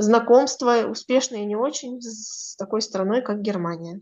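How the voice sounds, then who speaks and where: Pitched fairly high, a woman talks in a normal speaking voice. She moves at a moderate pace with ordinary pitch variation. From northern Kazakhstan. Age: 20s. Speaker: astrologer. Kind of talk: interview.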